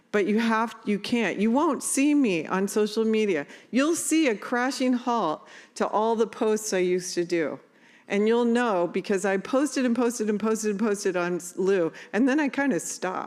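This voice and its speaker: With an animated tone and lively intonation, a woman speaks at a fairly high pitch and moderate pace. Her loudness stays very even in a very clean recording with a silent background. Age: 60s. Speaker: parent advocate and nonprofit CEO. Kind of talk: conference talk.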